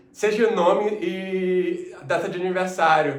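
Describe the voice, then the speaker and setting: A high-pitched man's voice amid audible room echo and noticeable background noise. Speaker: mentor and coach. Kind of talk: online lecture.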